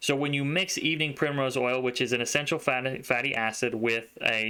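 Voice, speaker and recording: The voice belongs to a man. He keeps his intonation fairly even. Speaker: health video creator. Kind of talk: informal health talk to camera. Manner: fast.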